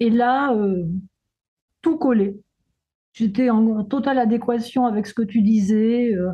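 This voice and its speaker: A woman's fairly high, somewhat breathy voice with a dark, mellow tone, ordinary pitch variation, a very slow pace and long, frequent pauses. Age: 70s. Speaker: retired sophrologist and therapist. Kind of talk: testimonial interview. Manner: halting.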